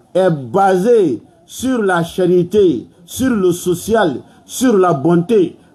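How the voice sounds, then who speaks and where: A man talks very slowly in a high pitch with lively intonation. Noticeable background noise can be heard. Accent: West African. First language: Malinke (speaking French). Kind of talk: sermon.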